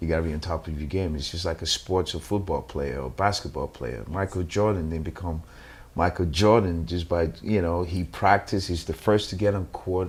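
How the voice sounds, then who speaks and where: The speaker talks at a fairly quick pace with vocal fry. Pitch varies in an ordinary way. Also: man, very deep, low pitch for a man. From Nigeria. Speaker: actor. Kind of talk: interview. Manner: halting, many fillers and repeats.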